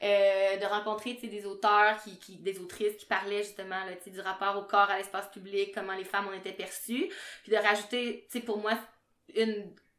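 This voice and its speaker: A woman with a Quebec accent talks at a moderate pace in a monotone, flat intonation, her loudness swinging widely. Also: medium pitch for a woman. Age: 30s. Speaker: podcast co-host, sexology student. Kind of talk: casual chat.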